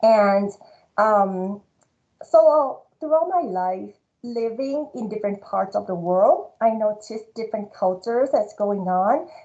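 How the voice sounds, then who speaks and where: At a fairly slow pace, a woman with a Thai accent speaks in a dark, mellow tone with a fairly high pitch and lively intonation. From Thailand (Bangkok). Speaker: marketing professor. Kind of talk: award speech.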